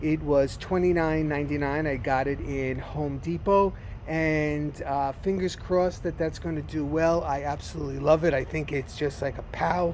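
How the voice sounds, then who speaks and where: A voice with an American accent and fairly even intonation runs on with hardly any pauses, with audible room echo and noticeable background noise. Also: man, fairly high pitch for a man, moderate pace. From New Jersey. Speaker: gardening vlogger. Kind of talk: casual garden tour vlog. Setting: outdoors in garden. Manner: casual, halting with fillers.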